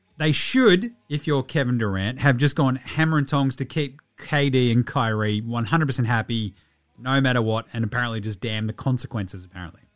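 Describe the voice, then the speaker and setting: With an Australian accent, the speaker talks in an animated tone at a fairly quick pace and ordinary pitch variation. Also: man, medium pitch for a man. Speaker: podcast host. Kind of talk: radio dj patter: chatty, jokey show-opening banter with ad reads. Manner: fast, animated, punchy and cheeky, rattling off slang and plugs.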